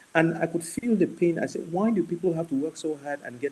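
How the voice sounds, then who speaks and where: A man speaks at a very fast pace in a passionate, dark, mellow tone with ordinary pitch variation. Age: 60s. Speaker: medical doctor. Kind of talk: panel talk. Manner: halting, many repetitions.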